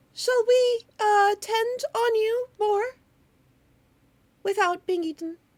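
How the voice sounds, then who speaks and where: In a squeaky, put-on character voice, a woman speaks very slowly at an extremely high pitch, with long, frequent pauses. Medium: actual play. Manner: overly polite, hesitant, stammering.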